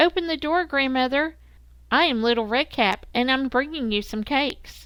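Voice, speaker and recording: A woman uses a put-on character voice. Her pitch is high. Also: moderate pace. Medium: read story.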